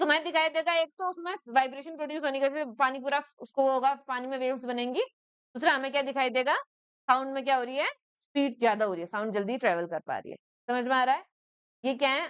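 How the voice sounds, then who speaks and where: A woman speaks loudly at a moderate pace in a high pitch, with a dry, close sound and no echo. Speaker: school teacher. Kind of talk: classroom lecture. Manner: conversational, checks understanding often.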